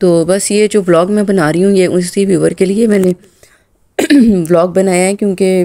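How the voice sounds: A woman's dark, mellow voice at a moderate pace, with fairly even intonation. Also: medium pitch for a woman.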